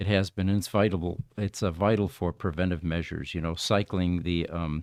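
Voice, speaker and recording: A man's very deep, low voice with fairly even intonation at a moderate pace, dry and close with no echo against a quiet background. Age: 70s. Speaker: power services company owner, podcast co-host. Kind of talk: casual chat.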